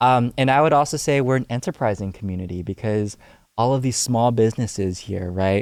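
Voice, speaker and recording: On a very clean recording with a silent background, a man talks at a fairly quick pace with a medium pitch. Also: ordinary pitch variation. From US, Houston, Texas (Alief). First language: Cantonese. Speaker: youth civic organizer. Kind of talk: podcast interview. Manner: frequent filler hesitations.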